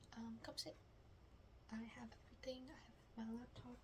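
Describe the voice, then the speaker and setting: A soft-spoken woman talks at a fairly slow pace. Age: 20s. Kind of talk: ASMR roleplay, soft-spoken classmate project talk. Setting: quiet room with typing sounds. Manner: soft-spoken, casual, hesitant.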